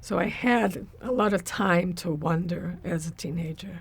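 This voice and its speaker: A woman speaks very slowly in a fairly low, somewhat breathy voice. Her pitch varies in an ordinary way. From Brazil. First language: Portuguese. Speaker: spiritual practitioner. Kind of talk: interview.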